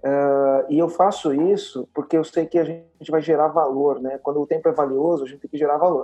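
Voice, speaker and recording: A man speaks with fairly even intonation. His pitch sits fairly high. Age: 40s. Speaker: entrepreneur. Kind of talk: interview.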